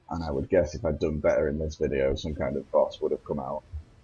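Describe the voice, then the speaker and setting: A fairly quick-paced man's voice in a British accent. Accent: British accent, noticeable to Americans. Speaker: gaming YouTuber. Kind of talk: gameplay commentary.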